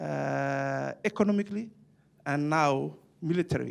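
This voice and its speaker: Very slowly, a speaker talks with a non-native accent. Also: man. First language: not English. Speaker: diplomat, audience questioner. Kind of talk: audience question at Q&A. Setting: symposium with live audience. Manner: halting, many hesitations.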